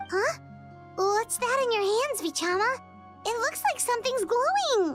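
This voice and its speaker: In a put-on character voice at an extremely high pitch, the speaker goes at a moderate pace while music plays clearly in the background. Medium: video game. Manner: excitable, high-energy.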